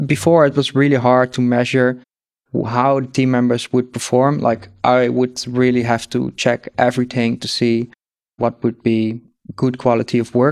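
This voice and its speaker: This man has a medium-pitched voice with a Dutch accent. He talks at a moderate pace in a monotone, flat intonation. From Netherlands. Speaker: agency founder. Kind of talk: interview, business talk.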